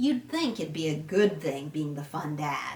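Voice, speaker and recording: At a moderate pace, a woman puts on a character voice pitched very deep and low. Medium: read story. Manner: chatty, friendly.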